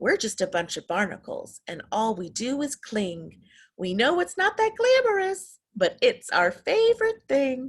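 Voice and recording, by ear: A woman does a put-on character voice at a fairly slow pace. Her pitch is high and swings widely.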